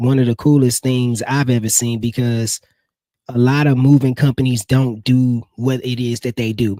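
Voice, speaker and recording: Medium-pitched male speech with a dark, mellow tone, monotone, flat intonation and a moderate pace, in a dry, close sound with no echo. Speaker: live stream host for marketing agency. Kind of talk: live stream product demo. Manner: casual, filler-heavy.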